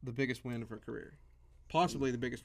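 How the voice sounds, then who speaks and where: This is a man speaking. His pitch is medium. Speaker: wrestling podcast co-host. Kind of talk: casual chat.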